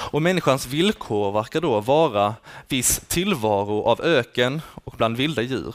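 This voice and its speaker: An ordinary speaking voice: a man, medium in pitch, with lively intonation and a fairly slow pace. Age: 20s. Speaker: student teacher giving a sermon. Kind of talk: sermon.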